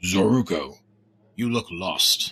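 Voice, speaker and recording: Put-on character voice with a raspy edge. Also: man. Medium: video game.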